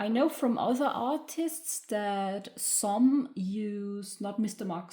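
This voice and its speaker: A woman with a German accent, somewhat breathy with a dark, mellow tone, at medium pitch and a very slow pace. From Germany. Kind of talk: craft tutorial talk to camera. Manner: hesitant, many filler sounds.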